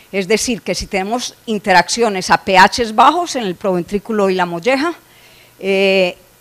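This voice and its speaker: Over noticeable background noise, a woman speaks at a fairly slow pace and medium pitch, with ordinary pitch variation. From Colombia. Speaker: animal nutrition scientist. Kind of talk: conference lecture. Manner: frequent filler hesitations.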